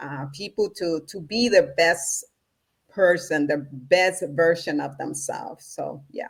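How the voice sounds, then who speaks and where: Very slow speech from a woman with a Spanish accent, fairly low in pitch, with ordinary pitch variation and big swings in loudness. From Honduras, Central America. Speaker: spiritual practitioner and entrepreneurship coach. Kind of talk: conversational interview.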